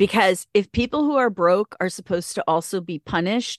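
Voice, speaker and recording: In a dry, close sound with no echo, a woman uses a normal speaking voice with lively intonation at a moderate pace. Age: 50s. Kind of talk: casual chat.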